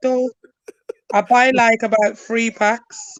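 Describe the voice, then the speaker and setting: With a strong Birmingham accent, a woman speaks at a very slow pace in a high pitch and fairly even intonation, the sound dry and close with no echo. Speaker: university student. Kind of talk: casual chat. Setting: live stream.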